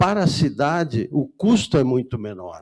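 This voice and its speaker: A man's dark, mellow voice at a very slow pace. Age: 80s+. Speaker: resident speaking at public hearing. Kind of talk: public hearing comment. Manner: halting, with restarts.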